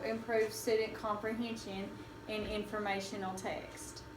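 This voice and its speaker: A woman speaks in a Southern US accent at a fairly high pitch and a very slow pace. Her intonation is monotone and flat, with noticeable background noise. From Kentucky. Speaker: elementary school teacher. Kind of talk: academic presentation.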